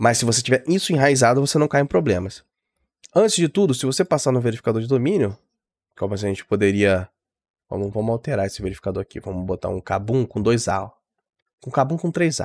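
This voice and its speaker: Speaking at a very fast pace with long, frequent pauses, a man with a medium-pitched voice and lively intonation comes through in a dry sound with no echo. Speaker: tech tutorial youtuber. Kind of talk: tutorial. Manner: casual, hesitant fillers.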